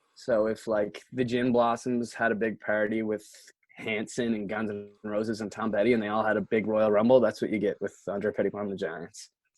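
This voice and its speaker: A man with a Nova Scotian accent, fairly low in pitch and fairly quick, his intonation monotone and flat against a quiet background. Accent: Nova Scotian Canadian English. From Canada, Nova Scotia (Antigonish County). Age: 20s. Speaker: musician. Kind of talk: casual chat. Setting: socially distanced sit-down interview.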